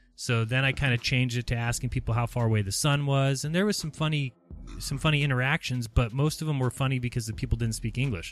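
Very fast speech from a man at medium pitch with ordinary pitch variation, music playing in the background. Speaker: live stream host. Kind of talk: casual group livestream chat. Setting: video call. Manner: upbeat, chatty.

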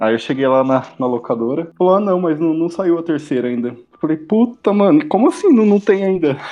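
A man with a high voice talks at a fairly quick clip, his intonation lively. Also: hardly any pauses. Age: 20s. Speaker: advertising professional, series fan. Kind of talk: casual chat.

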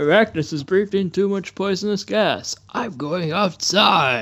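In a put-on character voice, a man pitches his speech high.

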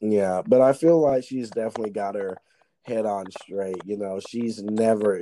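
Moderate-paced speech from a man, fairly low-pitched, in a plain, everyday voice. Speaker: podcast host. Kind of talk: casual chat.

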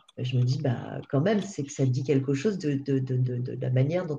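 Her voice very deep and low in pitch, a woman talks at a fairly quick pace with a dark, mellow, somewhat breathy tone and ordinary pitch variation. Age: 50s. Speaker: payroll consultant. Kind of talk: interview. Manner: halting.

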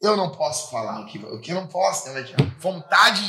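The intonation is lively. This man speaks at a moderate pace. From Rio Grande do Sul, Brazil. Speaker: pastor. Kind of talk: casual chat.

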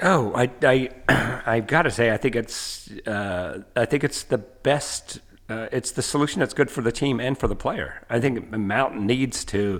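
At a fairly slow pace, a man with an American accent uses a plain, everyday voice of medium pitch and ordinary pitch variation. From US South, Asheville, North Carolina. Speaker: professor. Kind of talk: casual chat.

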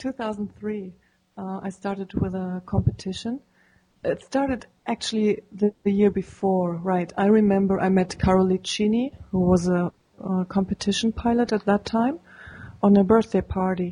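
A woman with a German accent speaks at a moderate pace in a medium pitch, her dark, mellow tone somewhat breathy, with fairly even intonation and a dry, close sound with no echo. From Germany. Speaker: paraglider pilot. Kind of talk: interview.

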